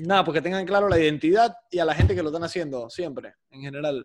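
With an unremarkable speaking voice, a man talks at a fairly quick pace, his pitch fairly high with ordinary variation. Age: 20s. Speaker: podcaster. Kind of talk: casual chat.

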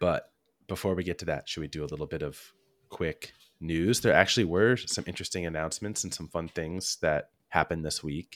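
A man talks at a fairly quick pace with a very deep, low pitch. The recording is very clean and dry, close and without echo, over a silent background. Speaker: podcast host. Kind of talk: casual chat.

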